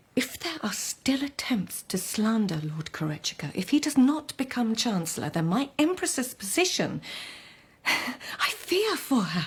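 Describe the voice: A woman puts on a character voice that is husky with a rough edge, fairly high in pitch, swinging widely in pitch and moving at a fairly slow pace.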